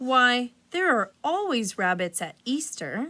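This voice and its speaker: In a put-on character voice, a woman talks at a fairly slow pace and a high pitch. Her pitch swings very widely. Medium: read story. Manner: drowsy.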